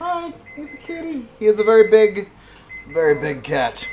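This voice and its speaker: A high-pitched man's voice amid noticeable background noise. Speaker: streamer cooking on a live stream. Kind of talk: casual live-stream chat. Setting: home kitchen live stream. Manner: animated.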